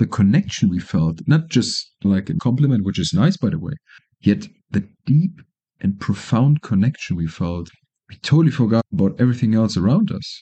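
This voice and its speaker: With a German accent, a man speaks at a moderate pace in a medium, somewhat breathy voice whose pitch swings very widely. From Germany. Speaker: podcaster. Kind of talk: casual monologue.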